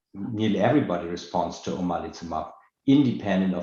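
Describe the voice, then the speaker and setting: A man at a moderate pace, with audible room echo. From Germany. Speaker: dermatology professor. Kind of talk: panel discussion.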